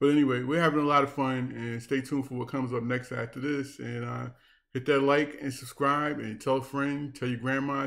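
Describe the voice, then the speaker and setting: Monotone, flat intonation at a fairly quick pace. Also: man. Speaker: gaming YouTuber. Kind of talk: casual gaming vlog with mock news segment. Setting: recording over in-game footage. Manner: talkative.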